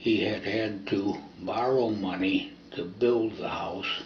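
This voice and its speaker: With an American accent, a man talks against noticeable background noise and audible room echo. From US Midwest, Toledo, Ohio. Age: 80s+. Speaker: oral history interviewee. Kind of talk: oral history testimony.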